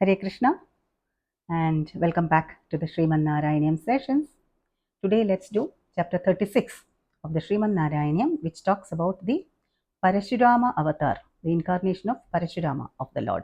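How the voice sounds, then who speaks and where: With lively intonation and long, frequent pauses, a woman speaks at a fairly quick pace in a somewhat breathy, medium-pitched voice. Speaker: spiritual teacher. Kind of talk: scripture lecture.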